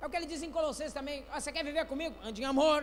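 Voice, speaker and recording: A man with an extremely high voice speaks in an animated tone, his pitch varying in an ordinary way, with audible echo in the room. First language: not Portuguese (speaking Portuguese). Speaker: pastor. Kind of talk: sermon. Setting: church.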